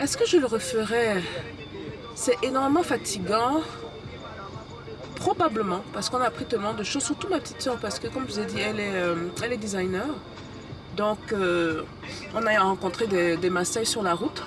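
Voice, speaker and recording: Over music in the background, the speaker uses lively intonation at a moderate pace, with long, frequent pauses. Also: woman, fairly high pitch for a woman. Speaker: travel vlogger and business youtuber. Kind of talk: casual travel vlog. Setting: on the road while travelling.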